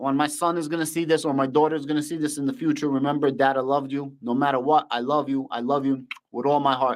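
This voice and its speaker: With a Russian accent, a man talks very fast in a fairly high pitch. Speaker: finance YouTuber. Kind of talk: live stream Q&A. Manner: animated.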